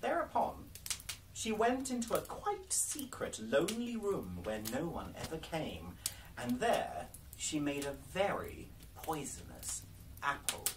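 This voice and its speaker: At a fairly slow pace, a man talks over noticeable background noise. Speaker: storyteller. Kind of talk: storybook reading aloud. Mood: calm, cozy bedtime-story tone. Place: home room. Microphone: camera far.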